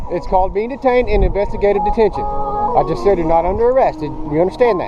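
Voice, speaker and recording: A man speaks very fast in a high voice, his pitch swinging very widely over noticeable background noise. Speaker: police officers. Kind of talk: police officers questioning and detaining a man. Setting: outdoors on a university campus.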